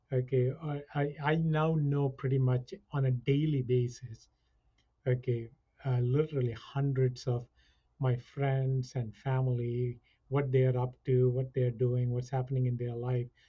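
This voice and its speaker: A man's somewhat breathy, medium-pitched voice, monotone and flat, at a fairly slow pace. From India. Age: 60s. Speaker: college chief information officer. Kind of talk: podcast interview.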